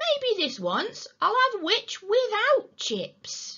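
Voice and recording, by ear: A woman's put-on character voice, extremely high and bright and sharp in tone, slow, with very wide pitch swings.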